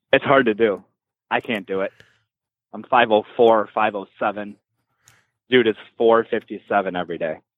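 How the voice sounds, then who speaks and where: Speaking at a moderate pace with long, frequent pauses, a man with an American accent keeps a fairly low pitch and fairly even intonation. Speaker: real estate company leader. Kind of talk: casual chat. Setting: phone call from a bar.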